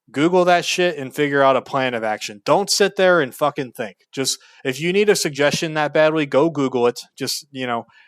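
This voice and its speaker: A man at a fairly high pitch, fairly quick and with hardly any pauses, ordinary pitch variation, dry, close sound with no echo on a very clean recording with a silent background. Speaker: YouTuber giving life advice. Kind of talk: unscripted rant to camera. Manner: loud, yelling; animated.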